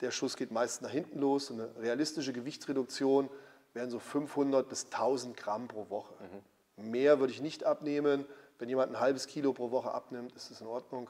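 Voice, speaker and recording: Speaking at a moderate pace, a man with a dark, mellow tone and medium pitch uses monotone, flat intonation with big swings in loudness. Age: 50s. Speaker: former pro bodybuilder and gym owner. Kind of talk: casual interview.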